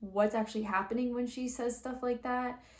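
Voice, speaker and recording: Someone speaks at a moderate pace with fairly even intonation over noticeable background noise. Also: woman. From Canadian. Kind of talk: analytical, explanatory.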